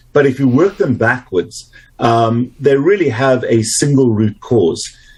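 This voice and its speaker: With a South African accent, the somewhat breathy voice moves at a fairly slow pace, keeping very even loudness and lively intonation. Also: man, medium pitch for a man. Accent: South African, retained. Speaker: doctor, obesity and metabolic health specialist. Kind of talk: interview.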